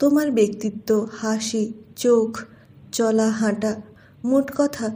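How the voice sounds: Natural voice reading aloud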